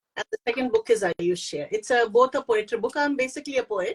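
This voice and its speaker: A woman speaks with an Indian accent and lively intonation at a moderate pace. The sound is dry and close, with no echo. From India, Pune. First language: Hindi. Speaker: poet and author. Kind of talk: interview. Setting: online live stream. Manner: halting.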